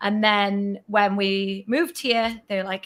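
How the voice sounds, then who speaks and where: A woman's medium-pitched voice moves fairly slowly, with ordinary pitch variation. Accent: northeast English. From northeast England, Northumberland. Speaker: vlogger. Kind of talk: casual chat. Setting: livestream.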